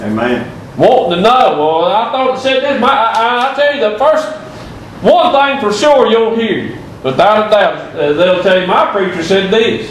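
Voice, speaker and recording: Noticeable background noise sits behind a man with a Southern US accent. His pitch is high and his intonation lively. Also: moderate pace. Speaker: preacher. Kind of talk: sermon. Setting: church. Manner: halting.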